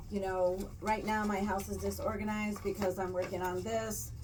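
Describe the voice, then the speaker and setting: There is audible room echo and noticeable background noise as a woman at a medium pitch talks at a moderate pace with fairly even intonation. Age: 60s. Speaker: podcast co-host. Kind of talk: casual chat.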